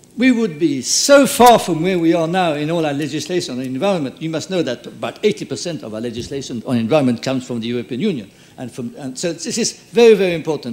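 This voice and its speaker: Through noticeable background noise, a man rattles on at a very fast pace with hardly any pauses. His fairly high voice swings very widely in pitch. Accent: French. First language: French. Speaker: conference speaker, former mayor. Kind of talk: conference wrap-up speech. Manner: halting.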